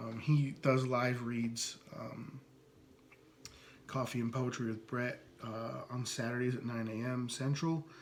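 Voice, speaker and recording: A man's medium-pitched, flat monotone with a slight US East Coast accent, long and frequent pauses, and audible room echo. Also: fairly slow pace. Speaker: podcast host. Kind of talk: casual podcast monologue introducing poets. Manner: hesitant, many fillers.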